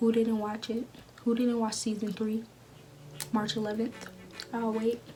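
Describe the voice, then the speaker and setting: Quiet and pitched fairly high, a woman speaks in a flat monotone at a fairly slow pace against noticeable background noise. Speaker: YouTuber. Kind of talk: casual vlog talk.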